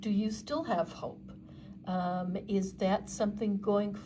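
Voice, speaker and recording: Somewhat breathy and dark, mellow in tone, a woman at medium pitch speaks at a very slow pace with audible room echo. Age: 60s. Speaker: tarot reader. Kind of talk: tarot reading monologue. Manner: halting, many fillers.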